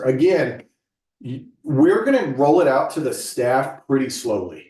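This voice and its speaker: Somewhat breathy and fairly high for a man, his voice moves at a fairly slow pace with lively intonation. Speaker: staff trainer. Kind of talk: staff training session. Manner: casual.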